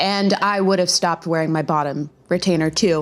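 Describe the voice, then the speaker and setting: Noticeable background noise sits behind a woman speaking at a fairly quick pace in an upbeat tone. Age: 20s. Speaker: lifestyle vlogger. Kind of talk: casual talk to camera. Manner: chatty, upbeat.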